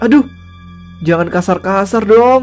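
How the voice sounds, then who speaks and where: Over clear background music, a put-on character voice at a middle pitch moves along at a fairly slow pace. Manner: whining, protesting.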